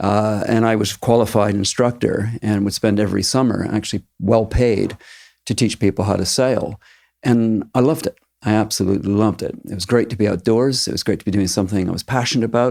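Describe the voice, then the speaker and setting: With a Maritime Canadian accent, a man speaks at a fairly quick pace in a fairly low, dark, mellow voice. His intonation is fairly even. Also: very clean recording, silent background. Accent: Canadian (Maritimes). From eastern Canada, Halifax, Nova Scotia. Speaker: teacher. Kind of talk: interview.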